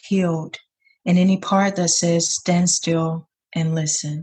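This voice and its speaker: A woman with an American accent sounds somewhat breathy. She keeps a fairly slow pace and fairly even intonation. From US South, south Georgia. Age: 20s. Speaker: poet. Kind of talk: casual chat; poetry reading.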